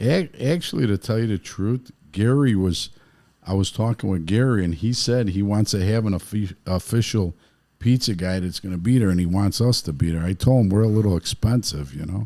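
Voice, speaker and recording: A man with a strong Chicago accent talks at a fairly quick pace in a fairly low pitch, his tone dark and mellow with ordinary pitch variation. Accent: heavy South Side Chicago. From Chicago, South Side. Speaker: pizzeria owner and car builder. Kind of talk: casual chat.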